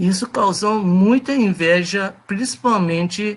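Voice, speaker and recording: A man with a Persian accent shows ordinary pitch variation. He speaks at a very slow pace. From Iran. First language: Persian (speaking Portuguese). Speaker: presenter of a talk on religion. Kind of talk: presentation to a group. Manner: halting, many fillers.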